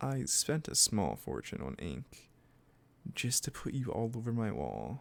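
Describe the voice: A man's put-on character voice, fairly low with vocal fry, at a fairly slow pace with very wide pitch swings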